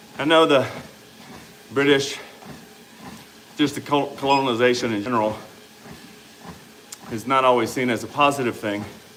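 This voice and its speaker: A medium-pitched man with an American accent, long, frequent pauses, audible room echo and noticeable background noise. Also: fairly even intonation, moderate pace. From US South, Louisiana. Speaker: fitness coach and livestreamer. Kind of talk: casual livestream chat reading comments. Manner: conversational, exercising while talking.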